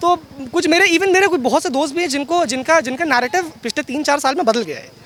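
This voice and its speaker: A man speaks with an extremely high pitch and ordinary pitch variation. Noticeable background noise is present. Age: 20s. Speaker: voter interviewed outside polling center. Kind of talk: street interview. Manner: halting.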